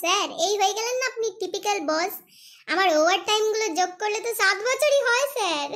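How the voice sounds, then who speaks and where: A cartoonish character voice at an extremely high pitch and a moderate pace. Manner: glib, playful, addresses boss as sir.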